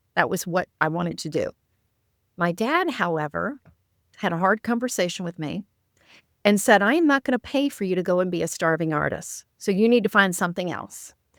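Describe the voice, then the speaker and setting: At a fairly quick pace, a woman with a normal speaking voice and medium pitch uses lively intonation, recorded very cleanly with a silent background and a dry, close sound with no echo. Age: 60s. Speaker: author and coach. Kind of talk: casual chat.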